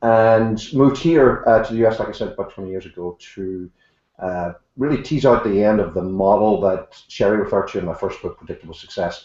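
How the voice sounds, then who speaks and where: A man with a strong Irish accent talks at a fairly quick pace. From Ireland. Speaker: author and leadership consultant. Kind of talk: interview.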